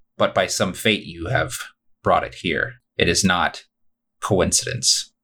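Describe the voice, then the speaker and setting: Someone uses a put-on character voice that sounds raspy. The pace is fairly slow. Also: man. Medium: actual play. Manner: grave, terse, solemn.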